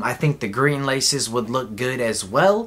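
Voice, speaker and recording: A man's medium-pitched voice with lively intonation at a fairly slow pace. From Southern California (Inland Empire, Chino); California. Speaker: sneaker YouTuber. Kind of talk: casual product review. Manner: animated. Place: home room.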